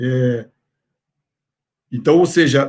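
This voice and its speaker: A somewhat breathy male voice with fairly even intonation. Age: 60s. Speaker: professor. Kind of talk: lecture. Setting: online congress talk. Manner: hesitant with filler words.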